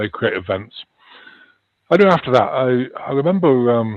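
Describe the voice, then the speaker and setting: A man with a slight Liverpool accent speaks at a medium pitch. His voice moves in very wide pitch swings. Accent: slight Liverpool twang. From northwest England. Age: 60s. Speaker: UFO researcher and wellness practitioner. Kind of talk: interview. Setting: live stream.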